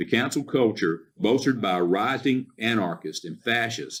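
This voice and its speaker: This man's voice has vocal fry and sits at a medium pitch. He talks at a moderate pace with lively intonation. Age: 60s. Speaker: county commissioner. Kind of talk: public meeting speech, partly read from notes. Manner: halting with fillers and restarts.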